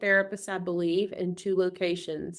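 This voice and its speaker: In a Southern US accent, a woman talks at a moderate pace with a medium pitch and monotone, flat intonation, in a very clean recording with a silent background. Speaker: group practice owner and consultant. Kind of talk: casual interview chat. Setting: podcast recording.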